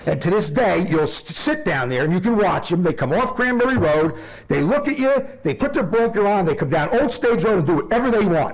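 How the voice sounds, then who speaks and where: An animated speaker with a New Jersey accent talks at a fairly quick pace with very wide pitch swings. Noticeable background noise and audible room echo fill the recording. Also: man, high pitch for a man. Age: 60s. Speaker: resident speaking at public comment. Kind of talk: public comment at council meeting.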